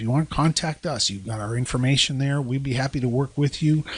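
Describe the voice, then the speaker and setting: Speech comes at a very fast pace. Background noise is noticeable. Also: man. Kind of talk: podcast discussion on deliverance ministry.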